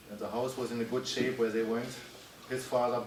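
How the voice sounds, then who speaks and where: Speaking with a German accent, a man with a medium-pitched voice is heard over noticeable background noise and audible room echo. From Germany. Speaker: club member telling life story. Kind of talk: casual Q&A talk. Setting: talk with live audience.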